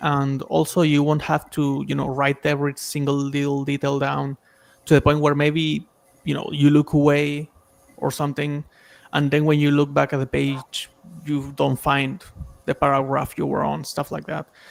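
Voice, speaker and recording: Over music in the background, a man with a non-native accent speaks at a moderate pace in a fairly high pitch with monotone, flat intonation and long, frequent pauses, the sound dry and close with no echo. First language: not English. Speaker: stream panelist giving feedback. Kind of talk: casual feedback chat on a stream. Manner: conversational, filler-heavy.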